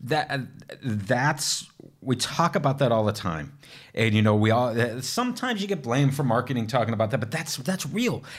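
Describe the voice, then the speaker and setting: With an enthusiastic, animated tone, a man talks at a fairly quick pace and medium pitch. His voice is somewhat breathy and his intonation lively. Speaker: technical evangelist. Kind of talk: casual interview chat.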